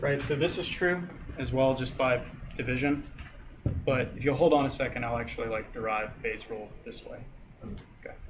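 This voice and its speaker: A man at medium pitch and a fairly quick pace, with ordinary pitch variation, big swings in loudness, long and frequent pauses, noticeable background noise and audible room echo. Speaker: teaching assistant. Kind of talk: lecture.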